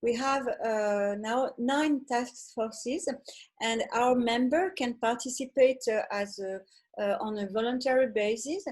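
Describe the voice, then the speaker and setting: Speaking fairly slowly with a French accent and ordinary pitch variation, the voice comes over a quiet background. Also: woman, high pitch for a woman. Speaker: fashion association founder. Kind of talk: online panel discussion. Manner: halting, many fillers.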